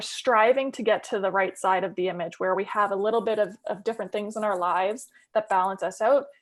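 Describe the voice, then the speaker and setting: The woman's voice has a fairly high pitch. She speaks at a fairly quick pace. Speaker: mental health peer supporter and trainer. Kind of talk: webinar presentation. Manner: fast.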